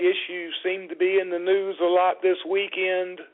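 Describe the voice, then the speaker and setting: A man with a Southern US accent, speaking at a fairly slow pace. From US South. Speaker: motorsport radio show host. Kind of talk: casual talk radio chat.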